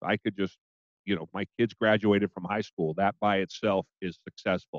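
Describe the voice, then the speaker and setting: Heard in a dry, close sound with no echo, a man with an ordinary speaking voice talks at a moderate pace, his pitch fairly low with ordinary pitch variation. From Portland, Oregon. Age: 50s. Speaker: podcast host and business owner. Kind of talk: casual interview.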